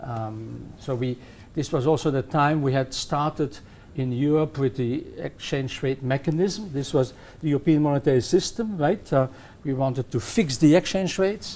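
This man's voice has a dark, mellow tone, fairly high pitch and ordinary pitch variation. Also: moderate pace. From Belgium. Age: 70s. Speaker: economics professor; guest. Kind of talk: interview. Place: studio.

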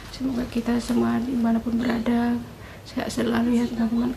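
Woman at a fairly quick pace with noticeable background noise. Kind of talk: casual vlog chat. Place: home room. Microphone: phone near.

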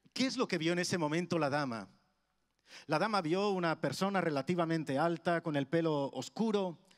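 Against a quiet background, a man with high pitch talks at a moderate pace, his loudness very even and his pitch variation ordinary. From Spain, Madrid (Carabanchel); Madrid, Spain. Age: 50s. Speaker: preacher. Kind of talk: sermon. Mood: warm, humorous, engaging. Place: church. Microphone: handheld.

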